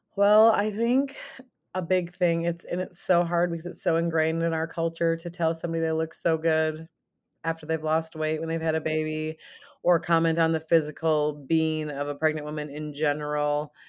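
A plain, everyday voice speaks with an American accent at a moderate pace and fairly even intonation. The recording is very clean, with a silent background. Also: woman, fairly low pitch for a woman. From southern Minnesota. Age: 30s. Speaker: event curator and mother. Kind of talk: casual interview.

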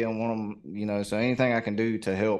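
Speaking with a Southern US accent, a man talks at a fairly quick pace and a fairly low pitch. The recording is very clean, with a silent background. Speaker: reaction YouTuber. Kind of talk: casual interview conversation. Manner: laid back.

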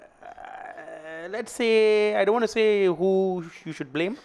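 The speaker talks at a very slow pace with a Malaysian accent. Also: man. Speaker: stand-up comedian. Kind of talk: casual chat.

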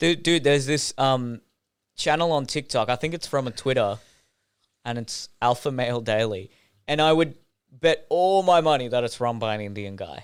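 A man speaks at a moderate pace in an Australian accent, his pitch medium and his intonation lively. The recording is very clean, with a silent background. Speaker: podcast guest. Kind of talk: casual chat.

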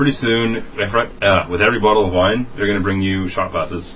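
A man at a fairly quick pace, fairly even in intonation, amid noticeable background noise. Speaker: podcast co-host. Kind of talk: casual banter.

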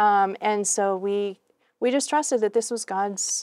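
This very clean recording, with a silent background and a dry, close sound with no echo, carries a normal speaking voice with ordinary pitch variation. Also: woman. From New England, US. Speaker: missionary and mission trainer. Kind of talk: interview.

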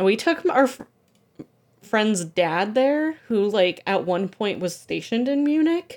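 At a fairly slow pace, a woman with a fairly high pitch speaks in very wide pitch swings. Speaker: podcast guest. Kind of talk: casual chat.

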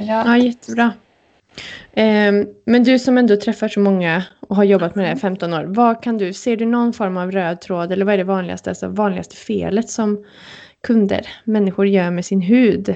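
A woman with an ordinary speaking voice talks at a moderate pace, with medium pitch and fairly even intonation. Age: 30s. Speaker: wedding podcast co-host. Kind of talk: casual chat.

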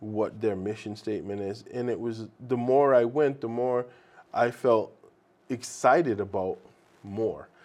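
Fairly slow and with fairly even intonation, a man talks in an American accent at a medium pitch. He has an unremarkable speaking voice. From Boston, Massachusetts (Roxbury, Jamaica Plain, Brockton). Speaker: addiction recovery coordinator. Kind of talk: casual interview. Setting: studio.

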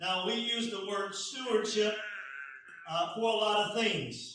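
Audible room echo surrounds a man's raised, projected voice, high in pitch and delivered at a very slow pace. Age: 50s. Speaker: pastor. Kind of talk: sermon.

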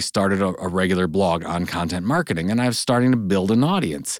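A man speaks at a fairly quick pace in an ordinary speaking voice, with lively intonation. The recording is very clean, with a silent background. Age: 40s. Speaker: entrepreneur and author. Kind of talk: interview conversation.

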